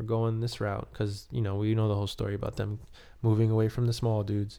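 Here a man talks very fast in an American accent. His pitch is medium, his tone dark and mellow, and the recording is very clean with a silent background. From New York, Queens. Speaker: podcast host and musician. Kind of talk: casual monologue.

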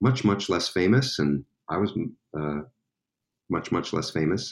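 The man's pace is moderate. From Staten Island, New York. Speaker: musician. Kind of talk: casual chat. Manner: halting.

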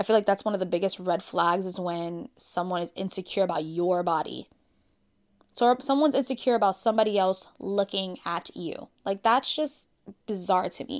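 In a very clean recording with a silent background, a woman with an unremarkable speaking voice talks at a moderate pace, medium in pitch with ordinary pitch variation. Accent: American. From Brooklyn, New York. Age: 30s. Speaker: podcast host. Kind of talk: casual solo chat.

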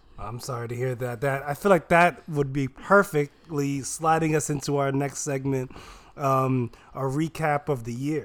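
On a very clean recording with a silent background, a man speaks at a moderate pace in an unremarkable speaking voice, his pitch fairly high and his intonation fairly even. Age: 20s. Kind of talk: casual chat.

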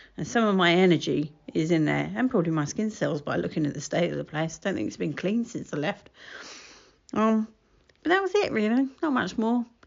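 Speaking with an Estuary English accent, a woman with a medium pitch moves at a fairly quick pace through very wide pitch swings. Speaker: solo podcaster. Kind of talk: casual solo monologue. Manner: laughs often.

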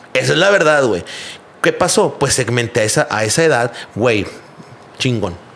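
Against noticeable background noise, a man at medium pitch speaks with very wide pitch swings, very even loudness, and long, frequent pauses. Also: moderate pace. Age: 30s. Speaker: graphic designer and entrepreneur. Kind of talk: casual chat.

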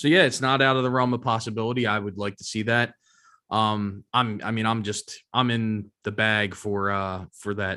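The man's tone is bright and sharp, captured in a very clean recording against a silent background. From Philadelphia, US. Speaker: podcast co-host. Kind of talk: casual chat. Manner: hesitant, many fillers.

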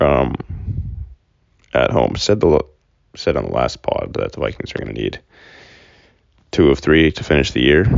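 Quietly and with an American accent, a man talks at a moderate pace, leaving long, frequent pauses. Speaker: sports podcast host. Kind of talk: casual solo sports talk. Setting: recording at home. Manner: quiet, low-key voice; casual with many fillers.

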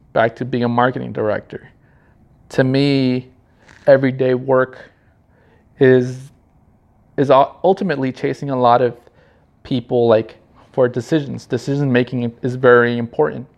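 Speaking at a moderate pace with a Southern Californian accent, a man sounds nervous, his intonation fairly even and his pauses long and frequent. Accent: Southern California American. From Los Angeles County, California. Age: 30s. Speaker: podcast host, marketing creative. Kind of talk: solo podcast intro, casual monologue. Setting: home, video recording in a high-rise condo. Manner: somewhat nervous.

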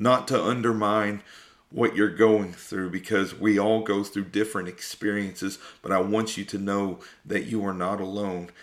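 A man speaks at a moderate pace in a fairly low pitch, his intonation fairly even. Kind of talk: sermon-like testimony talk. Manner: earnest, preaching.

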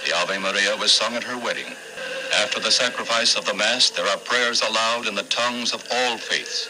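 Over noticeable background noise, a man speaks at a moderate pace in a solemn, dramatic tone. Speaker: newsreel narrator. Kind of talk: 1960s newsreel documentary narration. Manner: solemn, dramatic, stately.

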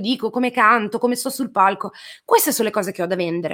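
Lively intonation runs through very fast speech on a very clean recording with a silent background. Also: woman. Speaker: singer-songwriter. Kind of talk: interview. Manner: talkative.

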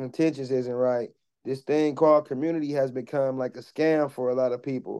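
In an American accent, a man talks at a moderate pace and medium pitch with a dark, mellow tone. His intonation is flat and monotone against a quiet background. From US Midwest, Milwaukee. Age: 30s. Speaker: nonprofit founder. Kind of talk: interview conversation.

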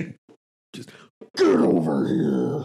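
This is a put-on character voice, and it sounds raspy. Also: man, very deep, low pitch for a man. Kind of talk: impression of a game character.

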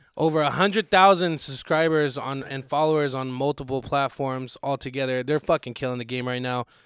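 In an American accent, a man with an unremarkable speaking voice and fairly high pitch talks at a fairly quick pace with hardly any pauses and ordinary pitch variation, in a dry, close sound with no echo. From Arizona. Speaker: podcast host. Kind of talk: casual chat. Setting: studio.

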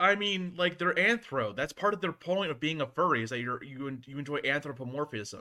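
A man talks at a fairly quick pace in a fairly high pitch, his tone bright and sharp and his intonation lively. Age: 20s. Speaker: podcast host. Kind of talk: casual chat.

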